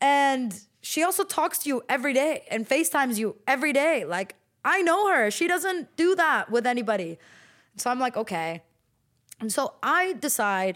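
Her voice animated, a woman with an American accent makes very wide pitch swings. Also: very clean recording, silent background. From California, US; teen years in Lebanon. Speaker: fashion model. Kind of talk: casual interview. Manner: animated, filler-heavy speech.

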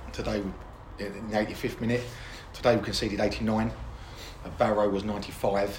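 A man speaks at a fairly low pitch, with noticeable background noise behind him. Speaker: football manager. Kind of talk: post-match interview. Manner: hesitant, many fillers.

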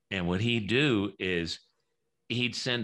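A man with an American accent, a fairly low pitch, a bright, sharp tone and lively intonation. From US South, New Orleans. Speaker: author and radio host. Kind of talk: interview. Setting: home studio.

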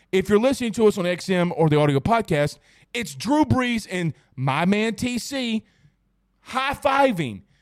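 An animated man with a high voice, very wide pitch swings and a fairly slow pace. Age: 30s. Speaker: sports podcast co-host. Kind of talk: casual sports talk show. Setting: studio.

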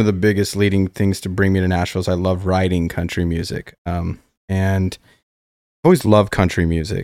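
In a very clean recording with a silent background and a dry, close sound with no echo, a man with an American accent speaks fairly quickly in a very deep, low voice. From Colorado. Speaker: singer-songwriter. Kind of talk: casual chat.

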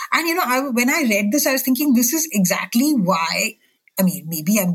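Very wide pitch swings in a woman's somewhat breathy voice. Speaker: books editor, podcast host. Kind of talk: interview.

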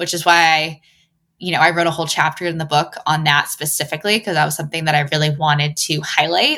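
The recording is very clean, with a silent background. A woman speaks in a bright, sharp tone. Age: 30s. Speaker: magazine editor and author. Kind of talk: interview.

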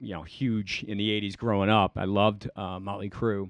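This man's delivery is very fast. The intonation remains fairly even throughout. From Cleveland, Ohio (moved around as army child). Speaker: financial advisor. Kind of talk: casual interview chat. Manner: hesitant, many fillers.

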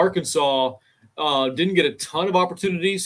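A man speaks at a moderate pace in a plain, everyday voice, with ordinary pitch variation. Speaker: play-by-play announcer. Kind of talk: sports commentary. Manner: analytical, conversational.

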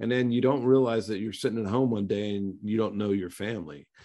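An ordinary speaking voice at a fairly quick pace with ordinary pitch variation over a quiet background. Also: man. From western Pennsylvania. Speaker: former pro football player. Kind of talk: casual interview.

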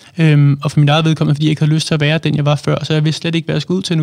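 This man speaks at a fairly high pitch. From Denmark, Allerød. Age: 20s. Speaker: author and public speaker. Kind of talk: personal testimony in interview. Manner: halting, many fillers.

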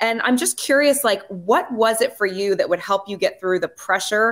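This woman has a normal speaking voice at medium pitch. She talks at a moderate pace with lively intonation. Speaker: podcast host and former athlete. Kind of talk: casual interview chat.

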